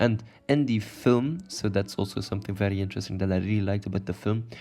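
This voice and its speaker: Over music in the background, a man with a non-native accent talks at a fairly quick pace in a fairly low pitch. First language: not English. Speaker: YouTuber explaining literature. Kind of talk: video explainer, partly read. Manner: halting, self-correcting; casual.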